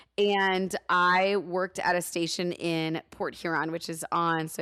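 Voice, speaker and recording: This woman's voice sits at a fairly low pitch. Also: dry, close sound with no echo. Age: 30s. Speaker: radio host. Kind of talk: casual chat. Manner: animated.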